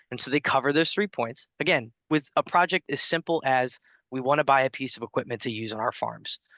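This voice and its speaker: A bright, sharp voice with an American accent, fairly quick pace and ordinary pitch variation, dry and close with no echo over a quiet background. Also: man. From New Jersey. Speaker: state agriculture grant official. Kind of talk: webinar presentation. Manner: fast.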